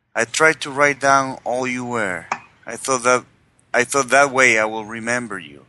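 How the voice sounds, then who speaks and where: A man's plain, everyday voice at medium pitch, moderate pace and ordinary pitch variation, with big swings in loudness. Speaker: tabletop game player. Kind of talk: in-character villain roleplay, dramatic monologue reading. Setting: online call session.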